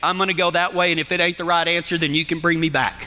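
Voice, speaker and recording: Over noticeable background noise, a man talks in a raised, projected voice. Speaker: cowboy church pastor and radio host. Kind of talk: sermon-style teaching, live broadcast. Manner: folksy, animated.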